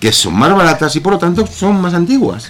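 Noticeable background noise runs under this recording. A man with a high pitch speaks at a moderate pace. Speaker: reading club member. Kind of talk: radio interview. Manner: hesitant, many fillers.

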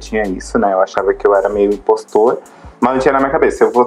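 A man speaks over noticeable background noise. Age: 20s. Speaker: podcast co-host, artist. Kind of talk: casual chat. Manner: animated.

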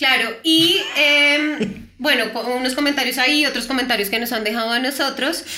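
A raised, projected woman's voice at a high pitch with ordinary pitch variation, amid noticeable background noise and audible room echo. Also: moderate pace. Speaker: podcast co-host and voice actor. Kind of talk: casual chat.

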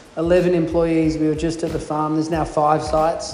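A man with an Australian accent talks at a fairly quick pace and a fairly high pitch. Audible room echo and noticeable background noise are present. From northern New South Wales, Australia. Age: 40s. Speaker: baker and bakery co-owner. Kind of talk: casual interview chat. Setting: in a cafe.

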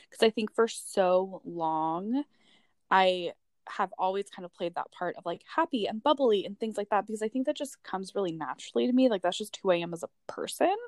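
In a very clean recording with a silent background and a dry, close sound with no echo, a woman with an American accent speaks at a medium pitch and a fairly quick pace, with lively intonation and big swings in loudness. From California, Bay Area. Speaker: podcast co-host. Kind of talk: casual chat.

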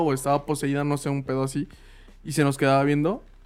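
Someone talks at a fairly quick pace in a Mexican accent, with music in the background. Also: man. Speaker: podcast co-host. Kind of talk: casual chat.

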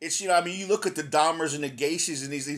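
This man has a normal speaking voice pitched fairly high, with ordinary pitch variation. The recording is very clean, with a silent background. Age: 50s. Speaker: podcast host. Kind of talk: interview. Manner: casual, repetitive fillers.

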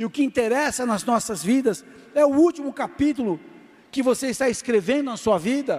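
Loud and lively in intonation, this man's voice sits at an extremely high pitch and moves at a moderate pace. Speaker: pastor. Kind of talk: sermon. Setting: church.

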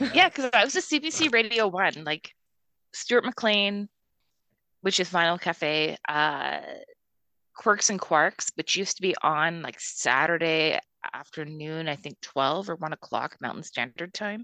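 Against a quiet background, a woman with a western Canadian accent speaks in a bright, sharp tone at a fairly low pitch with lively intonation. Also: fairly slow pace, dry, close sound with no echo. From Calgary, Canada. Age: 30s. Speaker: podcast co-host. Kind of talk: casual chat.

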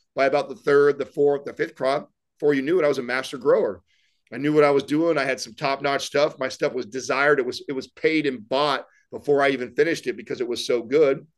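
Over a quiet background, a man with a fairly high pitch talks at a very fast pace with fairly even intonation. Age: 30s. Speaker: fitness entrepreneur and podcast co-host. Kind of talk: casual interview.

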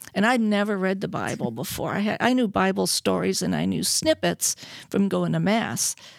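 A woman with an American accent speaks at a moderate pace in a very clean recording with a silent background and a dry, close sound with no echo. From US Midwest, Milwaukee, later California. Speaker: radio host. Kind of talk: testimony. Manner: animated.

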